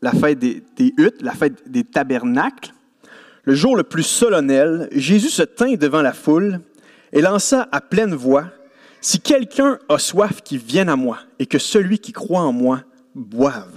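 A man with a Quebec accent speaks at a fairly slow pace in a high voice, his pitch swinging very widely, recorded with a dry, close sound and no echo. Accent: Québécois French. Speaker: preacher. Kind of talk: sermon. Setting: church service with congregation. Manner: animated.

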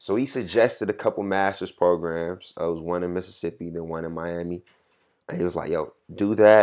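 Against a quiet background, a man with an American accent speaks at a fairly quick pace in a very deep, low pitch with fairly even intonation. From Atlanta, US South. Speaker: dental student. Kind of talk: casual interview.

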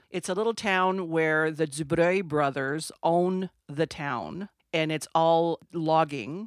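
On a very clean recording with a silent background, the speech moves at a very slow pace with ordinary pitch variation. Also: woman, fairly low pitch for a woman. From Sudbury, Ontario, Canada (French Canadian). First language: French. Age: 60s. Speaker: boutique owner. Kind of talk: interview. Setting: on location in a boutique.

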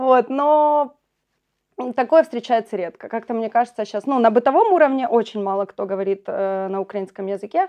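Lively intonation carries a woman's normal speaking voice, pitched fairly high, at a moderate pace. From eastern Ukraine, Pokrovsk (Donetsk region). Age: young. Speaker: local youth activist. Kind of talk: casual chat. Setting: school building.

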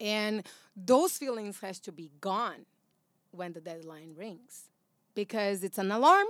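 With a Brazilian accent, a woman talks at a fairly slow pace with ordinary pitch variation and long, frequent pauses, recorded very cleanly against a silent background. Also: medium pitch for a woman, big swings in loudness. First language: Portuguese. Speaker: actress and voiceover artist. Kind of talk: casual chat. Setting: studio.

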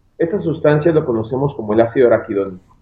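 Very fast, somewhat breathy speech in a Mexican accent, with very wide pitch swings. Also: man. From Mexico, Guadalajara. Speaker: physician. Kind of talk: interview.

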